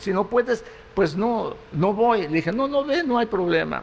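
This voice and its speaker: This is a man speaking. His intonation is lively. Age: 70s. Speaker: pastor. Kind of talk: sermon. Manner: halting.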